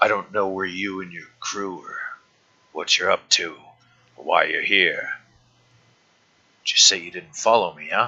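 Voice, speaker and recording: A raspy man in a put-on character voice, with long, frequent pauses. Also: moderate pace. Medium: actual play. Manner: crude, taunting, refers to himself in third person.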